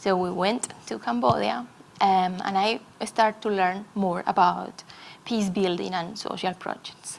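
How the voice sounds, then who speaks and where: The speaker has a Colombian accent. Noticeable background noise runs underneath. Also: woman. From Colombia, Medellín. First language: Spanish. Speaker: conference speaker. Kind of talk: talk to an audience. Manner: halting.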